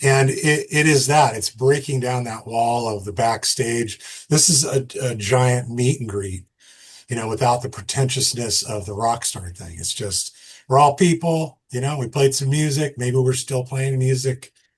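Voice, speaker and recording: A man talks fairly slowly in an American accent, somewhat breathy and at a medium pitch. His loudness swings widely. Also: ordinary pitch variation. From Massachusetts. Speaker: musician and festival founder. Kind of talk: casual podcast conversation.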